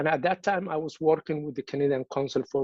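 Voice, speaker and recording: A man speaks with a Somali accent. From Somalia. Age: 30s. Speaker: activist. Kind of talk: speech at a virtual event. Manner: repetitive false starts.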